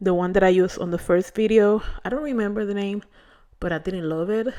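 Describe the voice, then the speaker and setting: Against a quiet background, a woman at a medium pitch speaks with a Spanish accent and ordinary pitch variation. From Puerto Rico. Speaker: beauty vlogger. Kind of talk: hair care tutorial vlog. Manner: casual, hesitant with fillers.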